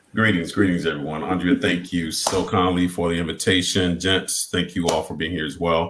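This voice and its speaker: With a Southern US accent and a very deep, low pitch, a man talks at a fairly quick pace with hardly any pauses, his intonation monotone and flat over noticeable background noise. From Mississippi. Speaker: college administrator and former voiceover artist. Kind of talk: panel discussion.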